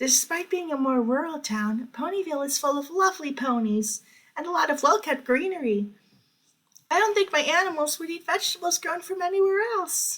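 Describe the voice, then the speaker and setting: A man does a put-on character voice at an extremely high pitch and a fairly quick pace. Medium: read story. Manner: soft, hesitant.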